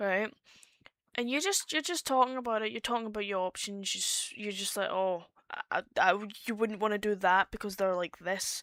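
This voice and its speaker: The recording is very clean with a silent background, and a woman speaks in a Scottish accent. She talks at a moderate pace with a medium pitch and ordinary pitch variation. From Scotland. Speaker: streamer. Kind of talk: casual chat.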